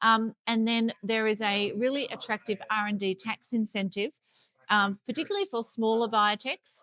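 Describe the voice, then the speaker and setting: A woman speaks in a strong Sydney accent at fairly high pitch, with a bright, sharp tone. Her intonation is fairly even, her pace moderate, and the sound is dry and close with no echo. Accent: heavy Sydney Australian. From Australia, Sydney. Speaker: life science consultant. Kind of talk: interview. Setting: conference.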